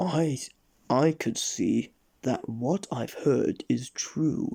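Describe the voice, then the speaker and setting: Very slow in pace, the voice is a put-on character voice. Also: man, fairly high pitch for a man. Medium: read story.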